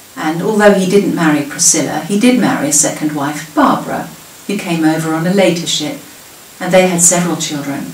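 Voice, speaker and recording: A woman at a fairly low pitch and fairly quick pace, ordinary pitch variation, audible room echo and light background noise. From southern England. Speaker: local history presenter. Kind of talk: prepared talk. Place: home room.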